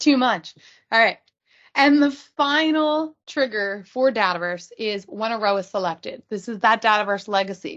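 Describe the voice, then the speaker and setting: A woman with lively intonation against a quiet background. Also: fairly high pitch for a woman. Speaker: user group presenter; presenter. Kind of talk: technical presentation. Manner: fast. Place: home room. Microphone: video call.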